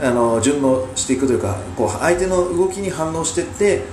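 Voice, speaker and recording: Moderate-paced speech from a man, amid noticeable background noise and audible room echo. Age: 40s. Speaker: podcast host and amateur wrestler. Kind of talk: solo commentary podcast. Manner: halting, many filler sounds.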